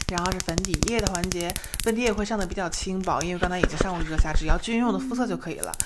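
A woman talking at a very fast pace, with ordinary pitch variation. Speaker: ASMR creator. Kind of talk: makeup tutorial talking to camera. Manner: normal speaking voice, not whispered. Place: home room. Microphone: studio mic.

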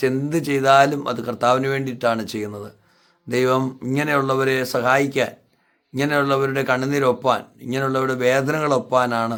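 His voice sits at a medium pitch for a man. The delivery stays monotone, with flat intonation. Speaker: pastor. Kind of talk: charity appeal. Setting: inside a hot house.

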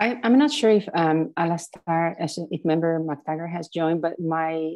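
Speaking at a moderate pace, a woman has a low pitch, a slightly mellow tone and ordinary pitch variation.

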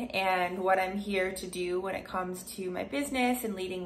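Over light background noise, the speaker goes at a moderate pace with ordinary pitch variation. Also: woman. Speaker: vlogger. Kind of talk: casual vlog chat. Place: home room. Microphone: phone near.

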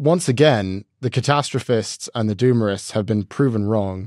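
Delivery comes at a moderate pace with ordinary pitch variation. The background is quiet and the sound is dry, with no echo. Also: man. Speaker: podcast co-host. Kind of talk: podcast commentary. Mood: earnest, reflective. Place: studio. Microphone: studio mic.

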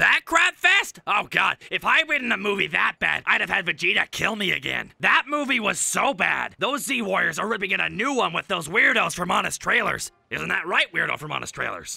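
Putting on a character voice, a man speaks high-pitched at a moderate pace with hardly any pauses. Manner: brash, goofy.

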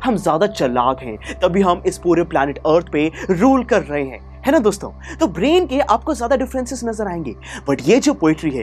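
At a moderate pace, a man speaks while faint music sits in the background. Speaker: teacher. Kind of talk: lecture. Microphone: lapel.

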